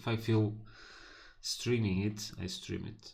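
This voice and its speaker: A man's fairly low voice at a very slow pace, with audible room echo. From northern Portugal. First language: Portuguese. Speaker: programming live streamer. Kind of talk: live coding stream. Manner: casual, halting with fillers.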